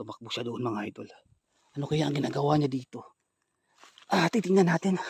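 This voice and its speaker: Somewhat breathy and fairly high-pitched, a man talks at a fairly quick pace with lively intonation, broken by long, frequent pauses. The sound is dry and close with no echo. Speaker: ghost hunter vlogger. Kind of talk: vlog narration.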